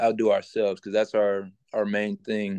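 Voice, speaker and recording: In an American accent, a man speaks with monotone, flat intonation in a dry, close sound with no echo. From Louisiana, Shreveport. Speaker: college basketball player. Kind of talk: interview.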